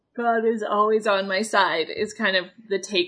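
Read in a natural voice, the delivery keeps a fairly even intonation.

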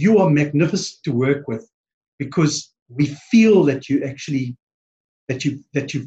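A man with a South African accent speaks at a fairly high pitch, his dark, mellow tone somewhat breathy. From East London, South Africa. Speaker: podcast guest, branding business owner.

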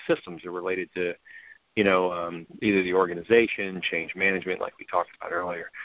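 A man speaks at a very fast pace. His pitch is fairly low. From US South, New Orleans. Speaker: hospital IT executive. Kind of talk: interview. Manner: long-winded, hesitant with fillers.

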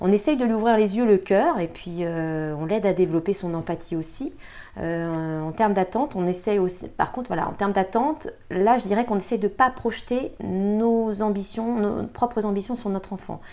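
Recorded very cleanly against a silent background, a woman speaks at a moderate pace in a dark, mellow tone, with medium pitch and ordinary pitch variation. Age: 40s. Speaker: communication consultant and mother. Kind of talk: interview testimony.

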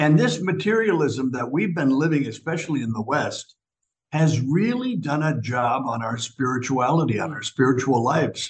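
Somewhat breathy, this man's voice is fairly high in pitch with lively intonation. He keeps a moderate pace. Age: 70s. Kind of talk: casual chat.

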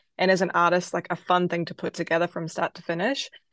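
In a dry, close recording with no echo and a quiet background, a woman with a New Zealand accent speaks in a fairly low pitch with monotone, flat intonation. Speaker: singer-songwriter. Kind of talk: interview.

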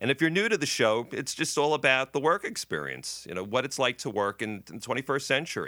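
With hardly any pauses, a man talks very fast in a bright, sharp, medium-pitched voice with vocal fry, in a very clean recording with a silent background. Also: lively intonation. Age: 60s. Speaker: TV writer and producer. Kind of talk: casual interview chat.

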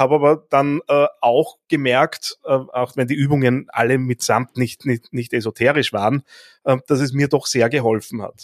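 On a very clean recording with a silent background and a dry, close sound with no echo, a man speaks fairly slowly at a medium pitch with fairly even intonation. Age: 40s. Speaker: podcast host and coach. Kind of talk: interview conversation. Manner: hesitant with fillers and repetitions.

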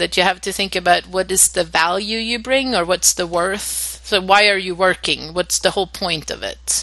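Noticeable background noise sits beneath speech delivered at a moderate speed. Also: woman. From Sweden. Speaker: project coordinator, former scientist. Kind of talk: casual interview.

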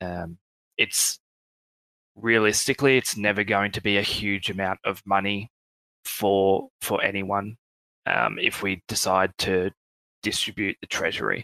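A man with an Australian accent speaks at a fairly slow pace in a fairly low voice, his tone bright and sharp and his intonation fairly even, with long, frequent pauses in a very clean, dry, close recording with no echo and a silent background. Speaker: project team member. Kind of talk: casual chat.

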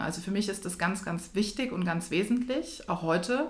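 A woman with a somewhat breathy, medium-pitched voice speaks at a moderate pace with ordinary pitch variation, and audible room echo surrounds her. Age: 30s. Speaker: executive and coach. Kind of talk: interview. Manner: animated.

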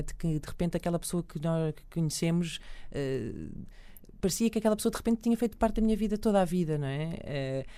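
Very fast and with lively intonation, a woman speaks at a fairly low pitch in a dark, mellow tone. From Portugal, Lisbon. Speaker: radio host. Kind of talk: casual interview.

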